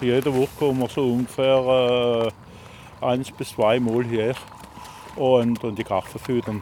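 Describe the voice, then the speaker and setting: Long, frequent pauses from a man at medium pitch, his intonation monotone and flat, his pace fairly slow, with noticeable background noise behind him. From Alsace, France. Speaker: retired factory worker, angling club board member. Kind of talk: interview. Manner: halting.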